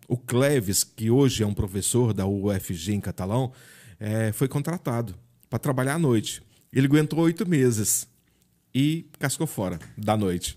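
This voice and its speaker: On a very clean recording with a silent background, a man with a dark, mellow tone and medium pitch speaks at a fairly slow pace with lively intonation. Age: 50s. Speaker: journalist. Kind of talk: casual interview.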